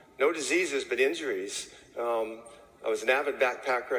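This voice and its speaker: Noticeable background noise runs under this recording. A man speaks at a fairly quick pace with an American accent. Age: 60s. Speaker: chimney sweep and network marketing distributor. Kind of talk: testimony. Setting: stage with audience. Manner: casual.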